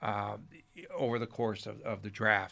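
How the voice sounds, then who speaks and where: A man's medium-pitched voice with a bright, sharp tone and a New Jersey accent, on a very clean recording with a silent background. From Newark, New Jersey. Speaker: sports radio broadcaster and journalist. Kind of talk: casual interview chat.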